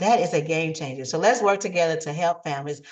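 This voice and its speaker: A woman talks at a fairly quick pace. Her pitch sits fairly low. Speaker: realtor and mortgage loan officer. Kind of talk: sales pitch. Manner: fast; animated.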